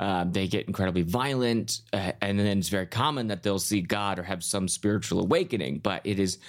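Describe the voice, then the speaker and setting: A man with an American accent speaks at a moderate pace in an unremarkable speaking voice, fairly low in pitch with ordinary pitch variation. The recording is very clean, with a silent background. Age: 30s. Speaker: comedian. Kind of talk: casual chat.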